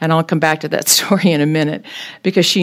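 A woman with an American accent speaks at a very deep, low pitch with ordinary pitch variation. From Kansas, Topeka. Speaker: retired nurse sharing testimony. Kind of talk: testimony. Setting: church group gathering with audience. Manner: fast.

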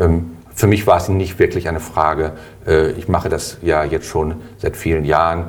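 Over noticeable background noise, a man with a very deep, low pitch speaks in a monotone, flat way at a moderate pace, leaving long, frequent pauses. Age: 50s. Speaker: health insurance board candidate. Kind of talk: interview.

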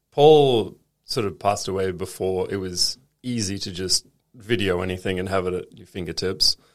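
Speaking at a moderate pace with an Australian accent, a man with a very deep, low voice shows ordinary pitch variation and big swings in loudness on a very clean recording with a silent background.

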